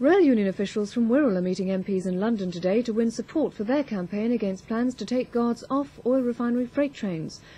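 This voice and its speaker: This voice has a dark, mellow tone and ordinary pitch variation, moving at a fairly quick pace with hardly any pauses. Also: woman, fairly high pitch for a woman. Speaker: news presenter. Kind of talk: 1980s TV news bulletin, read from script. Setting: television broadcast. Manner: formal, measured, crisp newsreader delivery.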